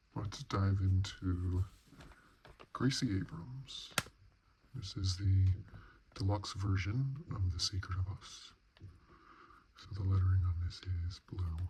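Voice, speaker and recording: Soft-spoken and somewhat breathy, a man with a very deep, low pitch and a dark, mellow tone talks at a very slow pace with ordinary pitch variation and long, frequent pauses. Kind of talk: CD collection review, ASMR browsing.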